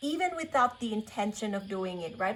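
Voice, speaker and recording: A woman speaks with a Thai accent. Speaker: tarot reader. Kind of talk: spiritual reading. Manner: halting, many fillers.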